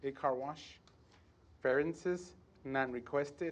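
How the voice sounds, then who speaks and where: A man speaks in a normal speaking voice with an American accent, at a fairly slow pace. His pitch is fairly high, with ordinary pitch variation. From South Texas. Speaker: city planner; presenter. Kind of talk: formal staff report reading. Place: hall.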